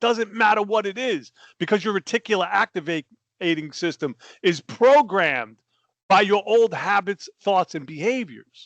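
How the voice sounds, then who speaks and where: Animated and with very wide pitch swings, a man with an American accent speaks at a high pitch. The sound is dry and close with no echo, over a quiet background. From New Jersey, US. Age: 60s. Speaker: life coach. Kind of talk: interview.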